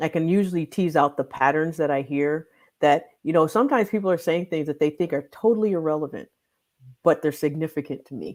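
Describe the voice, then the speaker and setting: A woman speaks with an American accent, her pitch very deep and low with ordinary variation. The recording is very clean, with a silent background. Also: fairly quick pace. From Michigan. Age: 50s. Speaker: weight loss doctor. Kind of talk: interview. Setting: livestream.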